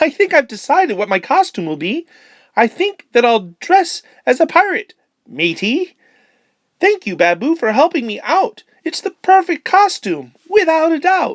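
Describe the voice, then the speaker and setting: The put-on character voice is high-pitched and squeaky. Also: moderate pace. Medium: read story.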